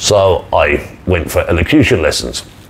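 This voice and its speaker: A man is talking. Noticeable background noise can be heard. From Ireland, rural, near the River Shannon. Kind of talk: personal storytelling monologue. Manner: repetitive, conversational.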